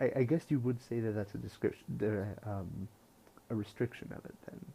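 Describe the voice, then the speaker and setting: Quiet and somewhat breathy, a man speaks with a fairly low pitch, a dark, mellow tone and fairly even intonation. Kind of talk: casual talk to camera.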